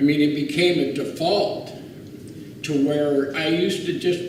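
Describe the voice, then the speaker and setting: Over noticeable background noise and audible room echo, a man talks at a moderate pace with an American accent. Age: 60s. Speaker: war veteran. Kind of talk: testimony. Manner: halting.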